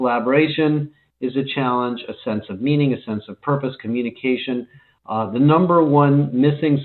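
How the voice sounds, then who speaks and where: A man at medium pitch and moderate pace, with ordinary pitch variation. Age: 60s. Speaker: leadership and HR industry analyst. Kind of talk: conference talk. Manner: halting, many fillers.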